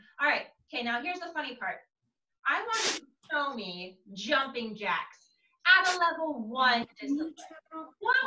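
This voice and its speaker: Over light background noise and audible room echo, a woman projects a raised, bright, sharp voice at a moderate pace, with big swings in loudness and long, frequent pauses. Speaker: martial arts instructor. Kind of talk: class instruction. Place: home room. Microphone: video call.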